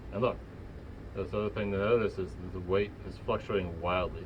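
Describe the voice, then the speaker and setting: The man's voice is fairly low and somewhat breathy. He speaks at a fairly quick pace. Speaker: lab instructor demonstrating technique. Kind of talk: hands-on lab tutorial. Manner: casual, filler-heavy.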